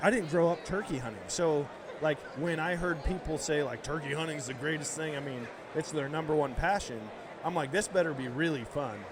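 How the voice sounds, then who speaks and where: Amid noticeable background noise and audible room echo, a man with an American accent speaks at a fairly quick pace, his fairly high pitch varying in an ordinary way. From central Wisconsin, near Eau Claire. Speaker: hunter, podcast guest. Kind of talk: casual chat. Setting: live at a convention show. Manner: animated.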